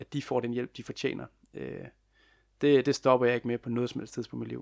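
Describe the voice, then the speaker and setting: A man speaks at medium pitch and a moderate pace with monotone, flat intonation. The recording is very clean with a silent background, and the sound is dry and close with no echo. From West Jutland, Denmark. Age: 20s. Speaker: youth mental health volunteer and family carer. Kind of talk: interview.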